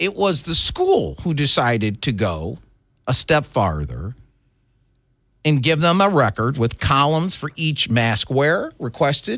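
Heard over a very clean recording with a silent background, this is an ordinary speaking voice with an American accent. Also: man. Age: 50s. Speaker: talk radio host. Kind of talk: talk radio monologue.

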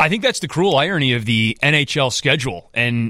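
A man's plain, everyday voice at medium pitch and a moderate pace, in a very clean recording with a silent background. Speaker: TV hockey play-by-play announcer. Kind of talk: casual radio interview chat. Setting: radio studio. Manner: friendly, self-deprecating, conversational.

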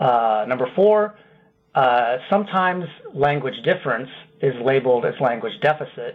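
Here is a man with an American accent and an ordinary speaking voice at medium pitch. He keeps a moderate pace with lively intonation. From Iowa. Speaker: linguistics professor. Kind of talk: radio interview.

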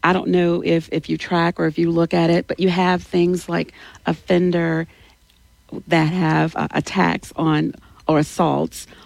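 In a Louisiana accent, a woman speaks at a fairly slow pace and a fairly low pitch. Her intonation stays monotone and flat, her loudness very even. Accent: Louisiana Southern US. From Louisiana, Alexandria. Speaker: political candidate. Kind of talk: interview.

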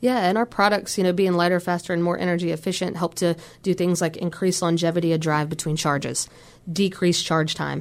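The speaker has an American accent and a fairly quick pace. Loudness stays very even throughout. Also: woman, fairly low pitch for a woman, fairly even intonation. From Virginia. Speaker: company recruiter. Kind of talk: radio interview. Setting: radio studio.

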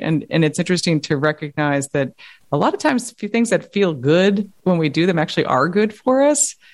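A woman with an American accent has an unremarkable speaking voice, a fairly low pitch and lively intonation. She speaks at a moderate pace against a quiet background. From New York City. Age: 40s. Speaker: science journalist and author. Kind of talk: podcast interview.

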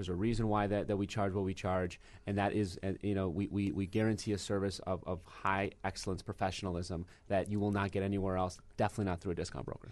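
A man with an American accent speaks at a very fast pace in a fairly low pitch, his intonation monotone and flat, against a quiet background. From Michigan. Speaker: real estate agent. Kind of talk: casual chat. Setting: studio.

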